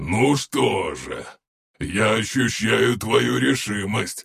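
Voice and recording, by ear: Against a quiet background, a text is read aloud in a natural voice.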